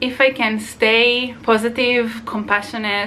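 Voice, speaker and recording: A woman with an Israeli accent speaks very slowly at a fairly high pitch. Noticeable background noise runs beneath her. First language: Hebrew. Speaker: vlogger. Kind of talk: casual vlog monologue. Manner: halting.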